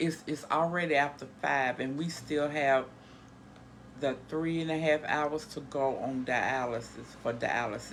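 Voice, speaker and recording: A woman's very deep, low voice with fairly even intonation at a fairly slow pace. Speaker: home dialysis care partner, vlogger. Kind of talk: casual vlog talk. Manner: halting, stumbling.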